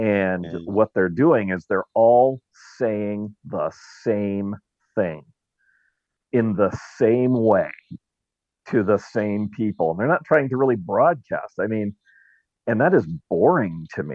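Speaking at a very slow pace with long, frequent pauses, a man with an American accent uses lively intonation at a fairly low pitch. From Southern California (Orange County). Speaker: talk radio host. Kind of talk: casual interview chat. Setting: Clubhouse audio room.

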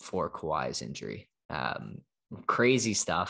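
Speaking with a Canadian accent and vocal fry, a man is heard over a quiet background. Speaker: podcast host, sports. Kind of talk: casual chat, sports recap.

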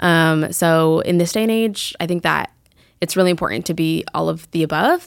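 With an American accent, the speaker uses an ordinary speaking voice at a moderate pace and ordinary pitch variation, in a very clean recording with a silent background. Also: woman, fairly low pitch for a woman. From Colorado, Fort Collins. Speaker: journalist. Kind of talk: interview.

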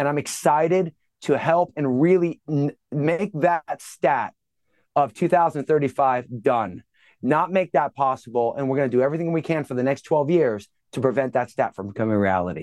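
A man speaks at a moderate pace with lively intonation and a fairly high pitch. The background is quiet. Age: 50s. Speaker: fitness and nutrition expert. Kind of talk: casual chat. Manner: halting, with speech challenge.

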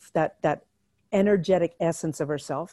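A normal speaking voice with a Canadian accent, moderate pace and ordinary pitch variation, in a dry, close sound with no echo over a quiet background. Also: woman. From Alberta, Canada. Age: 50s. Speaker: energy healer and coach. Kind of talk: casual interview chat.

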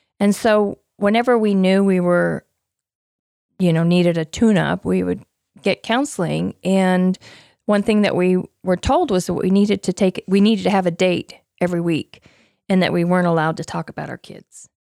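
A speaker with an American accent talks at a moderate pace in a dark, mellow tone with fairly even intonation, the sound dry and close with no echo on a very clean recording over a silent background. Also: woman, medium pitch for a woman. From US West, Utah. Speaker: nurse, parent. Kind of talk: casual interview. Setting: walk-in closet at home.

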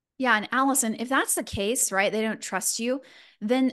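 A woman with high pitch and a slight Texan accent, over a quiet background. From Texas, Houston. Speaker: fundraising coach. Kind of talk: live masterclass. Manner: animated.

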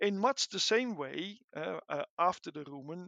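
Here a man speaks in a Dutch accent. His pitch is high for a man. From Netherlands. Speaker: animal science researcher. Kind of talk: interview. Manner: halting, many fillers.

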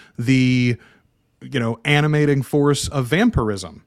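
Delivered at a fairly slow pace with lively intonation, the voice has a dry, close sound with no echo. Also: man. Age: 40s. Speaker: podcast host. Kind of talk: casual chat.

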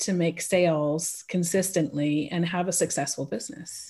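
A woman with a Californian accent speaks at a moderate pace in a somewhat breathy voice against a quiet background. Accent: American, California. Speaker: pricing consultant for small businesses. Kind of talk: casual interview chat. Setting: remote call from Switzerland.

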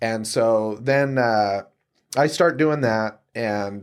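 Fairly even intonation with an American accent, on a very clean recording with a silent background. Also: man. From Utah, Salt Lake City. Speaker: real estate agent. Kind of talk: interview conversation. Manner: relaxed.

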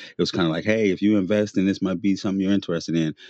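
A man's voice with ordinary pitch variation, dry and close with no echo, against a quiet background. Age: 40s. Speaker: t-shirt designer and podcaster. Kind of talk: casual chat.

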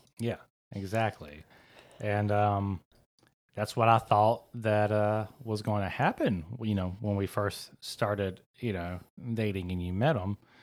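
On a very clean recording with a silent background, a man with a fairly low pitch talks at a fairly slow pace with fairly even intonation. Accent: Southern US. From US South, South Georgia. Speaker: podcast host. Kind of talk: casual chat.

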